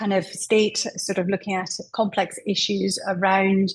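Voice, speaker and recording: Somewhat breathy woman with a Scottish accent, medium in pitch, at a fairly slow pace. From Scotland. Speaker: menopause specialist. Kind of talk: interview.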